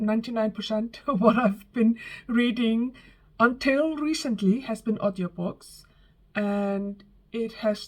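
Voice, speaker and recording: A somewhat breathy woman's voice, fairly high in pitch, with ordinary pitch variation and a fairly slow pace. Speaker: book reviewer. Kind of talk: casual talk to camera.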